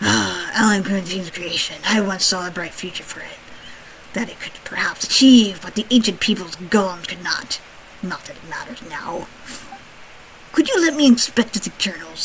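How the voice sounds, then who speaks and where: A female-sounding voice puts on a character voice at a middle pitch and moderate pace. There is light background noise. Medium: fan dub. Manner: measured and aloof.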